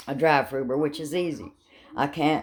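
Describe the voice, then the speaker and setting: A woman's animated voice of very deep, low pitch, with ordinary pitch variation at a moderate pace. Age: 70s. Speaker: vlogger and rideshare driver. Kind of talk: casual monologue vlog.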